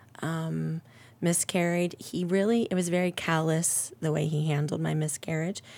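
Speaking at a moderate pace, a woman with an unremarkable speaking voice keeps a fairly low pitch and fairly even intonation. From Ohio, Akron area. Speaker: church member sharing faith story. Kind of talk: testimony.

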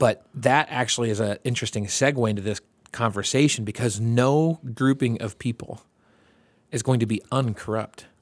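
In an unremarkable speaking voice, a man talks at a moderate pace and medium pitch with fairly even intonation. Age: 40s. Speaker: podcast host. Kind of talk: casual chat.

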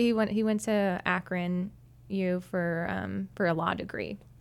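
In a very clean recording with a silent background, a woman with an American accent and an ordinary speaking voice talks at a fairly slow pace with ordinary pitch variation. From New Hampshire, US. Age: 20s. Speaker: church worship leader. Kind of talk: interview.

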